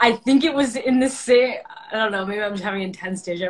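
A woman talks at a very fast pace in an American accent. Her intonation is lively. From US Midwest (suburbs of Detroit). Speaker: actor. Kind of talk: casual chat. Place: home room. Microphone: phone near.

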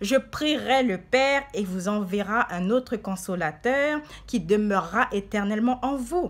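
Lively intonation at a very slow pace. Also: woman. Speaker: preacher. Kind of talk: sermon. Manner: fervent, declamatory preacher in full flow, urgent rising cadence; earnest, exhorting the flock with repeated 'bien aimé'. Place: home room. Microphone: phone near.

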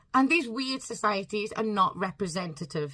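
A woman's bright, sharp tone rises and falls with lively intonation over a quiet background. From UK. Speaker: home-educating parent and YouTuber. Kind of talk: angry rant about schooling, delivered straight to camera with mounting indignation. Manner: impassioned, emphatic. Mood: earnest, slightly frustrated. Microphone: phone near.

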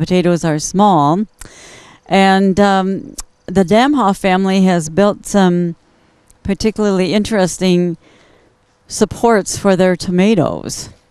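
The pitch rises and falls in an ordinary way against a quiet background. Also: woman, very even loudness, dry sound with no echo. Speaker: host of a gardening show. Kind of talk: commentary. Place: garden. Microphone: handheld.

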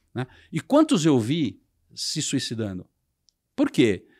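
Vocal fry runs through this man's speech. His pitch swings very widely against a quiet background. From Brazil. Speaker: sales and marketing executive; sales. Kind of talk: interview. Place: studio. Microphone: studio mic.

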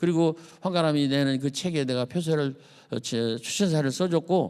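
Pitched fairly high, a man speaks with a dark, mellow tone. His pace is moderate. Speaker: poet and retired teacher. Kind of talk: lecture. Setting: stage with audience. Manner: animated.

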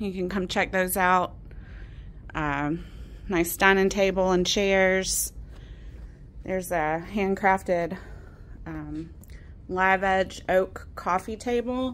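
Her intonation is fairly even. The woman speaks at a very slow pace, with long, frequent pauses. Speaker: auctioneer presenting gallery. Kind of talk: walkthrough sales pitch. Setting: in auction gallery, walking around. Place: shop. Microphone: phone near.

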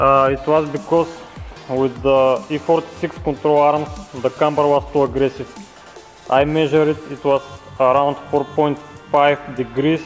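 Over faint background music, a man talks at a fairly slow pace with long, frequent pauses. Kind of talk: tutorial. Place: garage.

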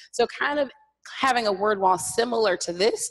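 A woman speaks in an ordinary speaking voice, fairly high in pitch. The background is quiet. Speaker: elementary school science teacher. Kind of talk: classroom-practice presentation. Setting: stage with audience. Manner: casual, frequent fillers like 'like'. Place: hall.

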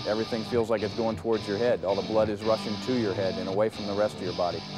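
Some light noise runs underneath. The voice belongs to a man. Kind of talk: interview answer. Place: hall. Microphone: lapel.

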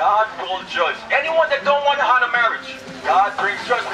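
Against noticeable background noise, a man talks with ordinary pitch variation. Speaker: street preacher. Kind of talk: street preaching debate, argumentative. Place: street.

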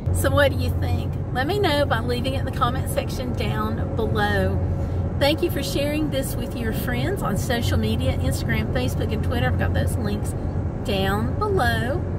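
Loud background noise sits behind a woman's voice. She talks at a moderate pace with ordinary pitch variation. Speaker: travel vlogger. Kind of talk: casual vlog chat. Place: car. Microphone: phone near.

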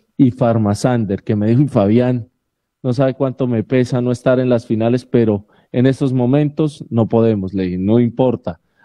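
Over a quiet background, a man talks at a moderate pace. His pitch is medium and his intonation fairly even. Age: 30s. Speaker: sports radio panelist; radio panelist. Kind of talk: casual chat on a live sports radio show. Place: home room.

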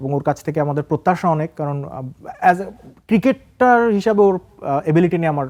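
Here is a man with an unremarkable speaking voice and lively intonation. The sound is dry and close, with no echo. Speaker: senior sports journalist. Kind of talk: studio talk show interview. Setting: TV studio.

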